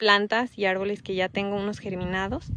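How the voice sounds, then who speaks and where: A woman's fairly quick speech, dry with no echo, over light background noise. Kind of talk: casual vlog chat. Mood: relaxed, explanatory. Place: open country. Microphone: phone near.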